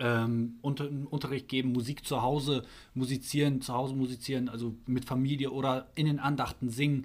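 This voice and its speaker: A man with a medium pitch talks at a fairly quick pace. His intonation is monotone and flat. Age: 30s. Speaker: electrician and church musician, podcast guest. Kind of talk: casual interview. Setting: church building after a service. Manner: hesitant, many fillers.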